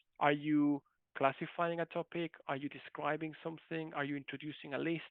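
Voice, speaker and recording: A speaker with a non-native accent talks at a moderate pace. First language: not English. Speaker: university lecturer. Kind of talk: online lecture. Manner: halting.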